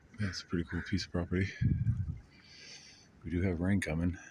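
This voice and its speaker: A quiet man's flat, monotone delivery. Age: old. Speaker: traveling hobo and busker vlogger. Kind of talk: casual vlog monologue. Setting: outdoors at a campsite. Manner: quiet, low-key.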